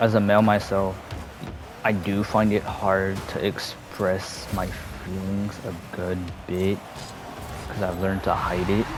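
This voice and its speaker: Music plays in the background as a man speaks in a fairly low, monotone, flat voice with audible room echo. His pace is fairly slow, with long, frequent pauses. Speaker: gaming youtuber. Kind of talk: personal talk to camera, unscripted. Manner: halting.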